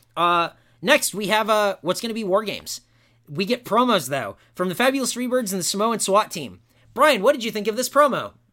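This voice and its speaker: A man's high, bright, sharp voice, raised and projected, animated in tone with lively intonation at a fairly quick pace. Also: very clean recording, silent background. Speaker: podcast host and wrestling fan. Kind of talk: wrestling promo, a loud mock-Southern rant played for laughs. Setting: studio podcast. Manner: sarcastic, exaggerated.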